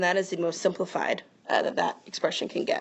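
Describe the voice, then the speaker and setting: A woman talks at a very fast pace. Her pitch is medium and her intonation fairly even. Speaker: math teacher. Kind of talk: tutorial. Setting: recorded video lesson.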